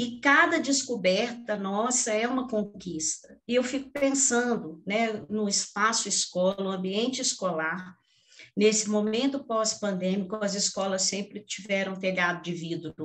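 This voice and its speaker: At a fairly slow pace, a woman with a plain, everyday voice speaks with fairly high pitch and ordinary pitch variation. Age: 60s. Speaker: education panel moderator. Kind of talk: panel discussion.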